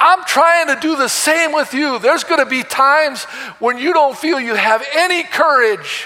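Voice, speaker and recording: A man with an extremely high pitch speaks in a raised, projected voice, animated and passionate, at a moderate pace with ordinary pitch variation. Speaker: preacher. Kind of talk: sermon. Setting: church. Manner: animated, passionate preaching with crowd call-and-response; loud, emphatic, in full flow.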